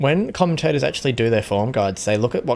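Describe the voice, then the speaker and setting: There is music in the background as a man speaks. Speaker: gaming streamer. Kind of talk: live commentary. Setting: live stream. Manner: stutter.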